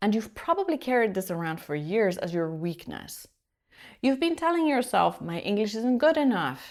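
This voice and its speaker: A woman's fairly high voice with very wide pitch swings, on a very clean recording with a silent background. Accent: Polish. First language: Polish. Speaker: executive presence coach. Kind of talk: coaching video monologue.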